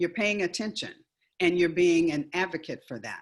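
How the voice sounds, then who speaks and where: A woman with a normal speaking voice talks fairly quickly at a fairly low pitch. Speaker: education speaker and author. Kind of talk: webinar presentation.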